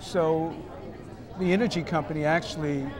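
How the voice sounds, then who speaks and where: Crowd noise fills the background as a man with an American accent talks at a moderate pace and fairly high pitch, with audible room echo. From Boston. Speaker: school superintendent. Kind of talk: interview. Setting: conference summit event.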